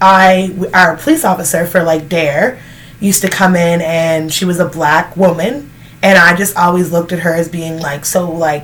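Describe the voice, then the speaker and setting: A woman speaks in a fairly low pitch with fairly even intonation. There is noticeable background noise. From Canada. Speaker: vlogger. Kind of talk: casual Q&A chat. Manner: casual, filler-heavy.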